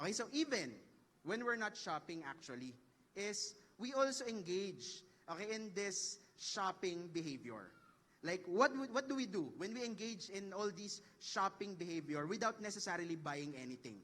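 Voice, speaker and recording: This man talks at a moderate pace with lively intonation. His voice sits high in pitch. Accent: Filipino. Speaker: professor. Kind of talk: lecture. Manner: animated.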